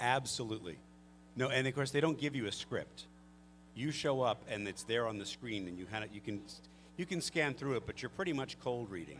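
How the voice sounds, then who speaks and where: A man talks at a fairly quick pace with vocal fry, lively intonation and a medium pitch. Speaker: voice actor. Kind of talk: panel Q&A answer about voice acting. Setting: live convention panel. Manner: casual, joking.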